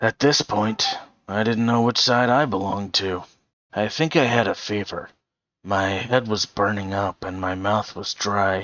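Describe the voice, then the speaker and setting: A raspy, put-on character voice with a weary tone at a moderate pace. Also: man, fairly low pitch for a man. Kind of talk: gritty first-person audiobook narration. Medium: read story. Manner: sardonic, weary.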